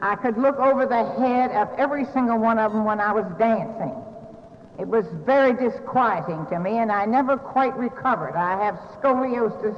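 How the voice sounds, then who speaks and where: Speaking at a moderate pace with a Southern US accent, a woman uses a fairly high pitch and ordinary pitch variation over noticeable background noise. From US South, North Carolina. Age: 60s. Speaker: recovery speaker. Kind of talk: recovery meeting talk.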